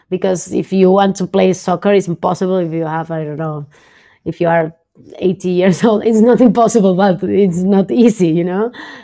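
With a Spanish accent, a woman speaks at medium pitch in a dark, mellow tone and fairly even intonation. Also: moderate pace. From Argentina, Buenos Aires. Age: 20s. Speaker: professional poker player and content creator. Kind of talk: casual interview. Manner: halting, many repetitions.

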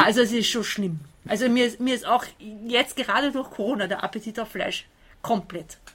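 A plain, everyday voice from a woman with fairly high pitch, ordinary pitch variation and a moderate pace. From Austria. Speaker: translator and volunteer helper. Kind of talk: interview. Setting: outdoors on a balcony.

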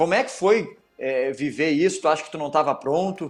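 Ordinary pitch variation with music playing in the background. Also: man. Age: 30s. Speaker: footballer and podcast host. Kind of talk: casual interview chat.

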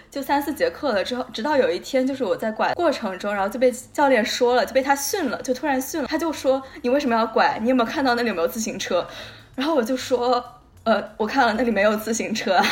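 Against noticeable background noise, a woman with a high pitch speaks very fast with hardly any pauses, big swings in loudness and ordinary pitch variation. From Guangdong, China. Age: young. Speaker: podcast co-host. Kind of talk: casual chat.

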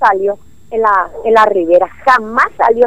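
This woman talks at a fairly slow pace. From Clorinda, Formosa, northeastern Argentina. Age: 60s. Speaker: neighborhood association representative. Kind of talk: phone-in complaint to radio. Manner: agitated, halting.

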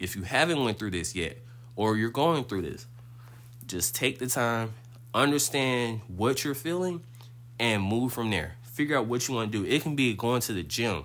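With a normal speaking voice, a man talks at a medium pitch and a moderate pace, his intonation lively. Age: 20s. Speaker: podcast host. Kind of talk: casual monologue.

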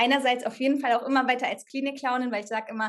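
This woman has an ordinary speaking voice, fairly high in pitch. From Germany, Sauerland. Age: 30s. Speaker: actress, hospital clown and coach. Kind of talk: casual interview.

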